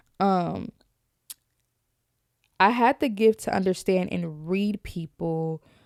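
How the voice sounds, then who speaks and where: Captured dry and close with no echo on a very clean recording with a silent background, a woman speaks at a fairly slow pace in a medium pitch with ordinary pitch variation. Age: 20s. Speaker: podcast host. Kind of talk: casual podcast monologue.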